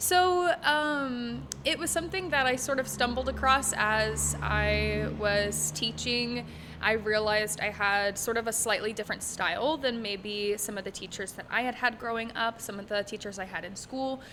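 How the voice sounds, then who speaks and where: There is noticeable background noise in the recording. Through it, a woman speaks at a moderate pace. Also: hardly any pauses. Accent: American. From Texas, Dallas area. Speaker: holistic music teacher. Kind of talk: casual interview. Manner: filler-heavy (um, uh).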